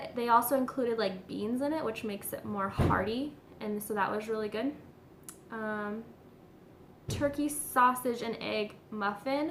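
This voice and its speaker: A woman speaks with fairly high pitch. Audible room echo and noticeable background noise surround her. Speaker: diet vlogger. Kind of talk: casual vlog update. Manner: fast; filler-heavy, um and like.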